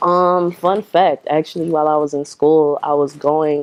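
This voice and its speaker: A woman with an American accent talks at a moderate pace in a very deep, low pitch. Her intonation is monotone and flat, and the sound is dry and close with no echo. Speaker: rapper. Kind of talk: interview. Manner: casual with many fillers.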